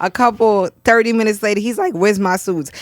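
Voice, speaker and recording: Speaking in a New York accent, a woman has an animated tone and ordinary pitch variation. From New York, Brooklyn. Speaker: podcast host. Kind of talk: casual chat.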